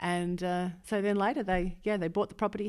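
On a very clean recording with a silent background, a woman talks at a medium pitch with a monotone, flat intonation. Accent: Australian. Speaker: vineyard owner and winemaker. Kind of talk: casual interview.

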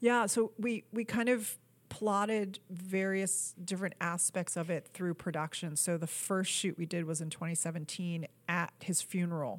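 A woman with an American accent has an unremarkable speaking voice, a fairly low pitch and ordinary pitch variation. She talks at a moderate pace in a very clean recording with a silent background. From New York. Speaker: film producer. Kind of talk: casual interview.

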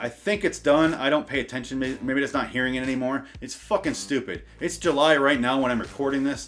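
Fairly quick speech with ordinary pitch variation and hardly any pauses over noticeable background noise. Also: man, fairly high pitch for a man. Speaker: comedy podcast host. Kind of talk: comedic rant. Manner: feigned enthusiasm, sarcastic.

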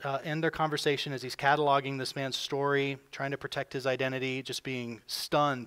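Unforced reading from a voice that doesn't strain

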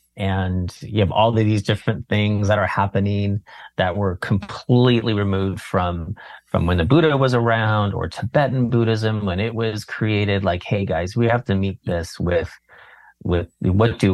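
A man with an American accent at a fairly low pitch, moderate pace and ordinary pitch variation. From California. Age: 40s. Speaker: meditation teacher. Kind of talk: casual chat.

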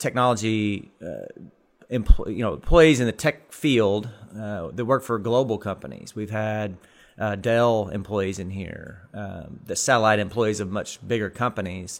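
A man with an Arkansas accent speaks at a fairly slow pace in a fairly low voice, on a very clean recording with a silent background. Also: ordinary pitch variation, big swings in loudness. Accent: Arkansas Southern US. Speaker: technology park director. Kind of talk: casual interview. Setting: in-person, at the technology park. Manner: halting, many fillers.

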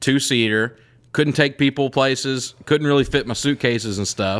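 With an American accent, a man of medium pitch speaks with fairly even intonation on a very clean recording with a silent background. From US South. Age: 20s. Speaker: comedian. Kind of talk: casual chat. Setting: home studio.

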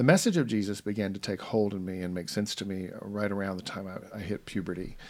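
A man speaks very fast with hardly any pauses. His voice is fairly low, with fairly even intonation. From US South. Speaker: podcast host. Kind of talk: casual chat.

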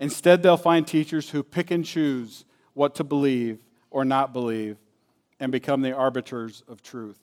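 A plain, everyday voice from a man, medium in pitch with ordinary pitch variation, moderate pace and big swings in loudness, in a dry, close sound with no echo on a very clean recording with a silent background. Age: 50s. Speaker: guest preacher. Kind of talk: sermon.

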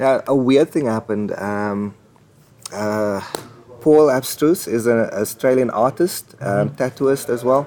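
Noticeable background noise sits behind the speaker. A man talks at a fairly slow pace with medium pitch. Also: ordinary pitch variation. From South Africa, Port Elizabeth. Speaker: comic book artist. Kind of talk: interview. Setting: comics convention.

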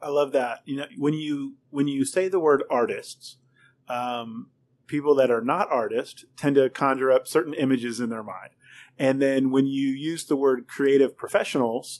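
With a quiet background, a man in a normal speaking voice talks at a moderate pace and a fairly high pitch. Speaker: podcast host. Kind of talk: interview conversation. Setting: restaurant wine room studio.

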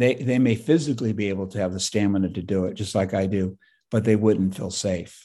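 A man talks at a fairly quick pace with a dark, mellow tone against a quiet background. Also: fairly low pitch for a man, ordinary pitch variation. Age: 60s. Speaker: naturopathic physician and activist. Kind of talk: interview conversation. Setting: video call.

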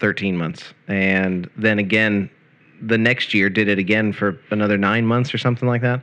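A man talks with a fairly low pitch and ordinary pitch variation. He has an ordinary speaking voice. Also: quiet background. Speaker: radio host. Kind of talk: casual chat. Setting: RV.

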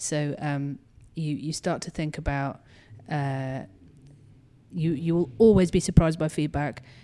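A woman with a very deep, low pitch and a dark, mellow tone speaks at a fairly slow pace, with long, frequent pauses and big swings in loudness. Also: ordinary pitch variation. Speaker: communications director at game studio.

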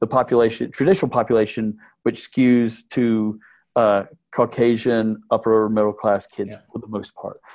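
A man with an American accent speaks in a normal speaking voice at a medium pitch and a moderate pace. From Texas (Midland). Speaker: camp owner. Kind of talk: interview.

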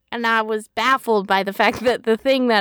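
A woman with a North American accent speaks in a bright, sharp tone, recorded with a dry, close sound and no echo. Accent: plain North American. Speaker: podcast co-host. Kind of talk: casual chat; podcast outro. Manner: animated.

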